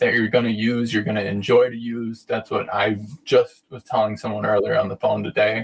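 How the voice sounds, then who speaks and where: Somewhat breathy, the voice moves at a moderate pace. Its pitch variation is ordinary. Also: man. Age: 20s. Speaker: sauna company representative, live stream host. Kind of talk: live stream Q&A and product talk. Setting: inside an infrared sauna during a live stream. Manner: casual, conversational.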